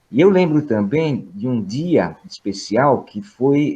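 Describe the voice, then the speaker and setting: A man's very slow delivery with very wide pitch swings. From Brazil. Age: 60s. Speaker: professor. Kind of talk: opening remarks at online lecture. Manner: hesitant, many fillers.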